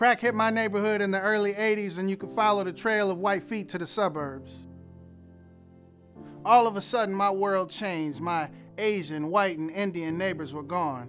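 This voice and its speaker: Music plays behind a man whose voice sits high in pitch. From Detroit. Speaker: homicide detective and poet. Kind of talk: spoken word poetry performance.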